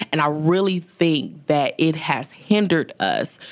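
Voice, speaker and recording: A woman's very deep, low voice in an American accent, at a fairly slow pace with ordinary pitch variation. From Detroit, Michigan. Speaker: licensed counselor. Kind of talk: interview. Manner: halting, many fillers.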